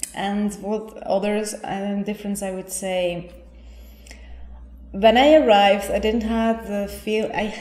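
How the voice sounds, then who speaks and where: A woman speaks very slowly at a medium pitch with fairly even intonation. Music plays in the background, and the room echo is audible. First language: Spanish. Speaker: yoga teacher. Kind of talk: interview.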